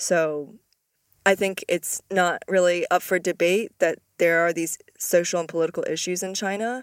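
Heard in a very clean recording with a silent background and a dry, close sound with no echo, a woman with an unremarkable speaking voice talks at a fairly low pitch with fairly even intonation. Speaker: podcast host. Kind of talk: interview podcast conversation.

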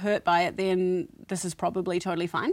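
Over a silent background in a very clean recording, a woman with a New Zealand accent talks fairly quickly at medium pitch. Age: 30s. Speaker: podcast co-host. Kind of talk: casual chat.

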